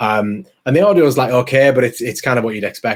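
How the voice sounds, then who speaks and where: A man with an English accent talks at a very fast pace. His pitch is medium. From England. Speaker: podcaster. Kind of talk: interview conversation. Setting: video call. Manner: mumbling, many ums.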